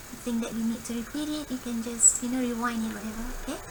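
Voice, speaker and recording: A woman talks with a fairly high pitch. Audible room echo and noticeable background noise surround her voice. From Singapore. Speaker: coding tutorial creator. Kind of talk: screen-recorded coding tutorial. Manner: casual, thinking aloud with fillers.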